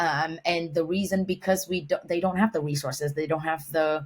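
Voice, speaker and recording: Spoken in a Vietnamese accent, the somewhat breathy voice moves at a moderate pace with fairly even intonation. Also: woman. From Vietnam, Hanoi. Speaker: humanitarian and environmental professional. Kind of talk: podcast interview. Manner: halting, many fillers and restarts.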